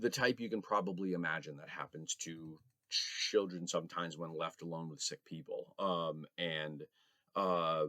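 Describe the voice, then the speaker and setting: A man speaks with a very deep, low pitch and a bright, sharp tone. His pace is moderate, and his loudness swings widely. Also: ordinary pitch variation. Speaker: vlogger. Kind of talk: personal reflection vlog. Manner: hesitant, many fillers.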